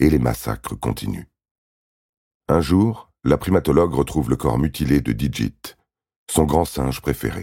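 A dark, mellow, dramatic voice with vocal fry moves at a fairly slow pace with lively intonation. Long pauses come often. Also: man, very deep, low pitch for a man. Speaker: true-crime narrator. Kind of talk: true-crime narration, scripted and read aloud. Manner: grave, measured, dramatic delivery; steady, neutral, storytelling pace.

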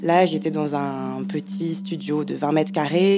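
Amid noticeable background noise, a woman with a very deep, low voice talks at a fairly slow pace. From Paris suburbs, France. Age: 20s. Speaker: freelance journalist. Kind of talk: testimony.

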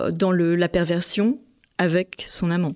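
On a very clean recording with a silent background, a woman speaks at a fairly slow pace and a fairly low pitch. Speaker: crime writer and journalist, serial killer expert. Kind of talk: expert interview, explanatory discussion. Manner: thoughtful, explanatory, hesitant with repetitions.

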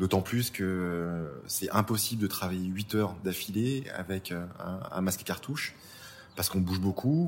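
A man talks with ordinary pitch variation. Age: 40s. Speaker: crime scene cleaner. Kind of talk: interview testimony. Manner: halting, repeats words.

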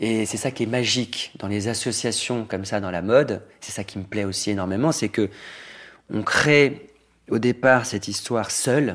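A man with a plain, everyday voice talks at a medium pitch and moderate pace, with ordinary pitch variation. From Normandy, France. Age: 40s. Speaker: fashion designer. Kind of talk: interview. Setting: at home.

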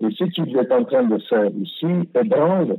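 At a very slow pace, a man speaks. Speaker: former ambassador. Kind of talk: interview. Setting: phone call. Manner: halting, many repetitions and hesitations.

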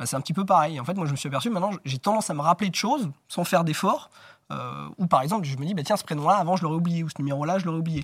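Over a very clean recording with a silent background, a man talks at a very fast pace in a somewhat breathy voice with ordinary pitch variation. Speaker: memory champion. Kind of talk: interview. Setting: studio.

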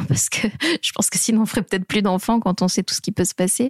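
At a very fast pace, a woman with vocal fry talks at a medium pitch and fairly even intonation, the sound dry and close with no echo. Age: 30s. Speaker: mother of a premature baby. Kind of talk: interview testimony.

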